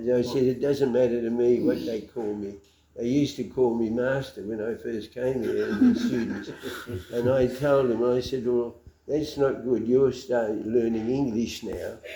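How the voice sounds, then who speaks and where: The tone is dark and mellow, in an Australian accent. The intonation stays monotone and flat. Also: man, medium pitch for a man, moderate pace. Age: 80s+. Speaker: lay missionary. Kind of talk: interview answer.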